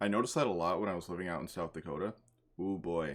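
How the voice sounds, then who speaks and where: A man with an American accent at a very fast pace, on a very clean recording with a silent background. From US Northeast. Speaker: YouTuber. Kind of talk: casual reaction commentary.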